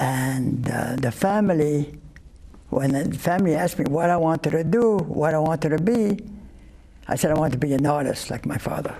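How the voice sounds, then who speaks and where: There is noticeable background noise as a man speaks at a moderate pace. His pitch is fairly high with ordinary variation. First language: not English (European). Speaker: Holocaust survivor. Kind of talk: interview. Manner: halting, many fillers.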